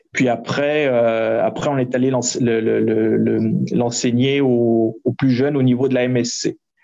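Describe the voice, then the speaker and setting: Music plays in the background as a man speaks very slowly at a medium pitch. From France. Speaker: entrepreneur and startup coach. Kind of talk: interview.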